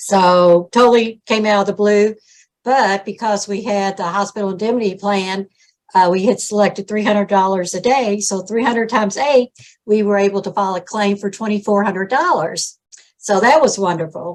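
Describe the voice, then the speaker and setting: Speaking at a moderate pace, a woman with a medium pitch keeps her intonation fairly even. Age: 60s. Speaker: insurance agent sharing a client story. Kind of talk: testimony.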